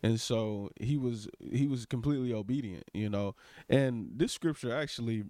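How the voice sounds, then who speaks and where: A man at a moderate pace with ordinary pitch variation, a plain, everyday voice. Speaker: co-host. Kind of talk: casual religious discussion. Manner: agreeable, interjecting, joking.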